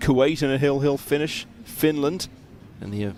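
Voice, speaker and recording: A normal speaking voice, a man at medium pitch talking at a fairly quick pace with ordinary pitch variation. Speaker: pool commentator. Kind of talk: live commentary.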